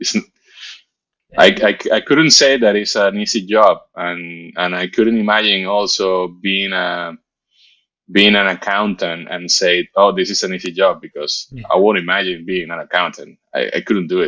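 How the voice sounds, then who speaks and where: A man with a Spanish accent against a quiet background. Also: moderate pace. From Venezuela. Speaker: motion designer. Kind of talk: interview. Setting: video call. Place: home room. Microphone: video call.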